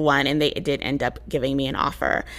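A woman is talking. Vocal fry runs through her voice. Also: very clean recording, silent background. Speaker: podcast host and software engineer. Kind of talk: casual solo monologue. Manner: blunt, casual with frequent laughs.

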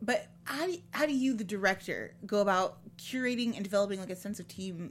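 At a moderate pace, a woman with an American accent speaks in an animated, somewhat breathy tone at a medium pitch with lively intonation on a very clean recording with a silent background. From Chicago area. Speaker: podcast host. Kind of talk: interview. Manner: animated, laughs often.

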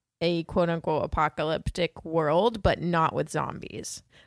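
Heard in a very clean recording with a silent background, a woman talks at a fairly slow pace with a fairly low pitch. She has an ordinary speaking voice, and the sound is dry and close with no echo. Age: 20s. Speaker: podcast co-host, movie reviewer. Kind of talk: casual chat.

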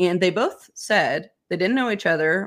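A woman with a fairly low pitch and an ordinary speaking voice, at a fairly slow pace, on a very clean recording with a silent background. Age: 30s. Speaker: pharmaceutical whistleblower. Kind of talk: interview.

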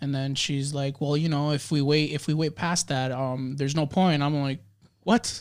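In a very clean recording with a silent background, a man with an unremarkable speaking voice speaks at a fairly high pitch and a moderate pace, his intonation fairly even. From Dominican Republic-born, raised in the US. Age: 20s. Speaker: podcast guest, photographer. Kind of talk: casual chat.

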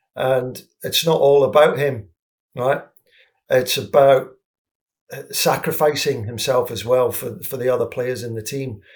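Fairly slow speech in an English accent, with long, frequent pauses and big swings in loudness. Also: man. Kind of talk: casual football discussion.

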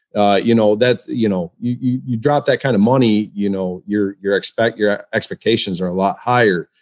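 At a moderate pace with hardly any pauses, a man with an American accent talks in a fairly low pitch with ordinary pitch variation over a quiet background. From West Michigan. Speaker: hunter and author. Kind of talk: interview. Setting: video call. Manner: halting, many fillers.

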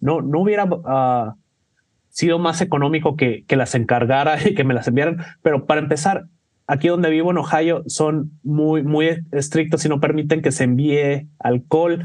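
Fairly high for a man, this voice keeps very even loudness and fairly even intonation, an ordinary speaking voice. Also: moderate pace. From Mexico. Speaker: cocktail bartender. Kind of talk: casual chat.

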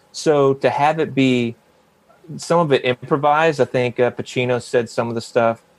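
With an American accent, a man speaks at a moderate pace in a medium pitch. His is an ordinary speaking voice with ordinary pitch variation. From South Carolina. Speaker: actor. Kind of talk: casual chat.

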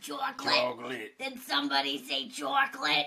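A put-on character voice sits at a fairly high pitch. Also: moderate pace. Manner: eager, demanding.

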